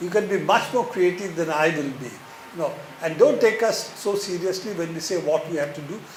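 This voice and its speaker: Amid noticeable background noise and audible room echo, a man talks at a fairly quick pace with a high pitch and ordinary pitch variation. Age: 70s. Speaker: speaker at a book talk. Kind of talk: Q&A answer at a public talk. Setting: bookstore event with audience.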